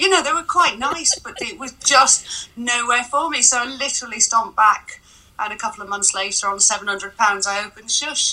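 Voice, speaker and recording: A woman's high-pitched voice at a fairly quick pace, lively in intonation, with noticeable background noise. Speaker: sex shop founder. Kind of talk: interview answers.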